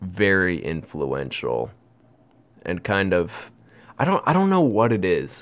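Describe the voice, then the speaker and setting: A man speaks at a fairly slow pace with lively intonation and vocal fry. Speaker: podcaster. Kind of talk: casual rant, solo monologue. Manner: rambling, self-deprecating, profane.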